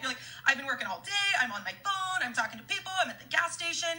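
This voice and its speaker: A woman with an American accent speaks in a raised, projected voice over noticeable background noise. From US Midwest, Kansas. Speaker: network marketing leader. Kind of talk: live-stream training. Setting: Facebook Live stream. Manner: fast; animated.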